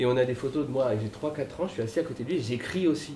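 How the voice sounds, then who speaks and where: Somewhat breathy, a man at a medium pitch talks at a fairly quick pace with lively intonation. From Paris, France. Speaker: author and guitarist. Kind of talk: casual panel talk at a book event.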